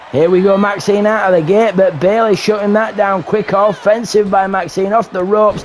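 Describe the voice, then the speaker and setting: Amid noticeable background noise, a man with a high pitch delivers his lines in an energetic, theatrical tone. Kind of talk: live wrestling show commentary. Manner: energetic, theatrical show-host delivery.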